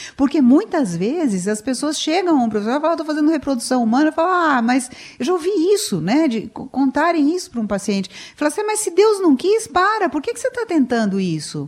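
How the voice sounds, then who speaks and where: A woman speaks very fast in a high voice whose pitch swings very widely. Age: 60s. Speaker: psychologist. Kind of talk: radio interview.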